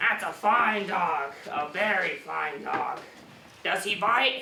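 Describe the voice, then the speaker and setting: A man adopts a put-on character voice at a high pitch and a very slow pace, with a slight echo and clear background noise. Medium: stage play. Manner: greedy, theatrical.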